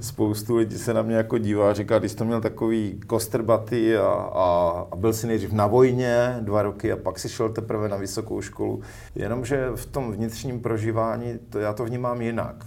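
A man speaks at a moderate pace in a monotone, flat intonation. Audible room echo surrounds the voice. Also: medium pitch for a man. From Czechia, northern Moravia (Zábřeh). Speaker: education manager. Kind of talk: interview. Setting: studio. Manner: hesitant, many fillers.

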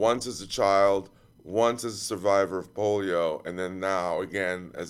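A man speaks with a very deep, low pitch and ordinary pitch variation at a fairly slow pace. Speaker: podcast host. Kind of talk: casual chat. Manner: halting.

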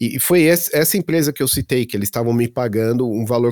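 Medium in pitch, a man's voice carries a dark, mellow tone. The sound is dry and close with no echo, on a very clean recording with a silent background. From Santo André, São Paulo, Brazil. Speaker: software engineer and tech content creator. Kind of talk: casual interview chat.

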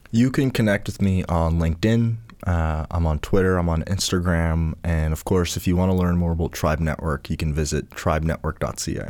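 With a Canadian accent, a man with a very deep, low voice talks at a fairly quick pace, with ordinary pitch variation and hardly any pauses. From Nova Scotia, Canada (Cape Breton). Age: 20s. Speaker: social entrepreneur. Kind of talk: casual chat.

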